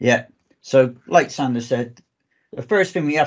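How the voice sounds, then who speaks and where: A man with a southwest English accent speaks at a medium pitch. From southwest England. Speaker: database architect, conference speaker. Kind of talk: technical presentation.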